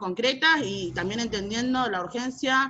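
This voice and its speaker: A woman with a Rioplatense accent speaks in a bright, sharp tone with ordinary pitch variation. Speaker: social movement activist. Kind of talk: panel debate contribution. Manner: fast.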